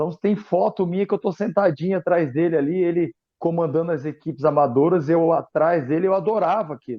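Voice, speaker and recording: This man has an unremarkable speaking voice, fairly high in pitch, and he talks at a fairly quick pace. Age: 40s. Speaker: football coach, former goalkeeper. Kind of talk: interview.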